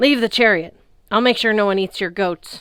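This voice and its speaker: In a very clean recording with a silent background, a woman does a put-on character voice at medium pitch and a moderate pace. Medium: read story. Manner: loud, bossy.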